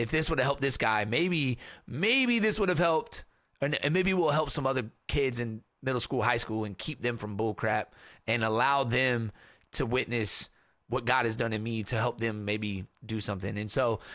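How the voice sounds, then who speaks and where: In an American accent, the speaker sounds animated with a bright, sharp tone, ordinary pitch variation and a moderate pace on a very clean recording with a silent background. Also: man, medium pitch for a man. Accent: slight Kentucky accent, comes out sometimes. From US South, western Kentucky small town. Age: 30s. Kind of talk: casual interview chat. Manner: animated, casual storytelling.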